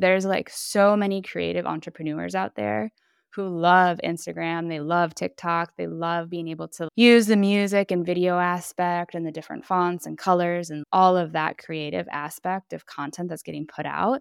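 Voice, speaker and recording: An ordinary speaking voice, a woman's, comes at a fairly low pitch and moderate pace with ordinary pitch variation and big swings in loudness, in a dry, close sound with no echo on a very clean recording with a silent background. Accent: American. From US Midwest, Minneapolis, Minnesota. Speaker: LinkedIn consultant. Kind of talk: podcast interview.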